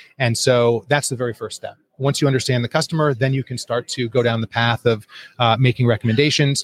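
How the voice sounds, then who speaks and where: Very fast and somewhat breathy, a man with an American accent speaks at a medium pitch with fairly even intonation. The recording is very clean, with a silent background and a dry, close sound with no echo. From US Northeast, northeastern Connecticut. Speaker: company founder and CEO. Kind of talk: interview. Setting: live at a conference in Honolulu.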